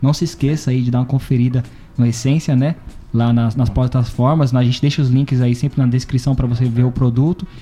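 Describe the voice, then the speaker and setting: A man at a very fast pace, with fairly even intonation and very even loudness, music playing in the background. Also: medium pitch for a man. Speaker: podcast host. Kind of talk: casual chat.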